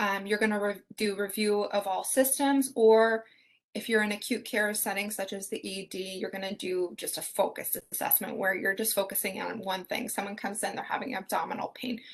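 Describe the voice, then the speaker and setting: A woman with an unremarkable speaking voice talks at a medium pitch and a fairly quick pace, with fairly even intonation and hardly any pauses. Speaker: nursing student teaching assistant. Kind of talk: exam review session.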